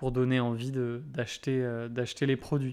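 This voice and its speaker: A man speaks at a moderate pace in a medium pitch, with monotone, flat intonation. The recording is very clean, with a silent background. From Brittany, France. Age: 20s. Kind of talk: interview conversation.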